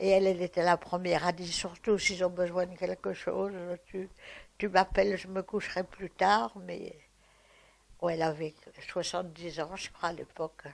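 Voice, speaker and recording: A woman with a fairly low voice and vocal fry speaks in a monotone, flat way, taking long, frequent pauses as her loudness swings widely. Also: moderate pace. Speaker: war witness. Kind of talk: testimony.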